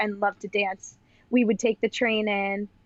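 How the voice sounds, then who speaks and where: The speaker has a Long Island accent. The pace is moderate. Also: woman. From Long Island, New York. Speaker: professional dancer and educator. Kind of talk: casual interview chat. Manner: chatty, many fillers like 'like'.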